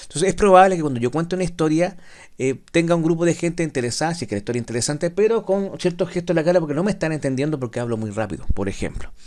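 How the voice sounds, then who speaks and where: A man's high voice races along at a very fast pace with lively intonation. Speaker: teacher. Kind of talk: lecture. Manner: slurred, drops word endings.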